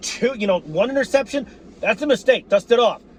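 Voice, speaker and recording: An animated tone at a fairly quick pace over noticeable background noise. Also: man. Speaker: sports fan commentator. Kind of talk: game recap rant. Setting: apartment.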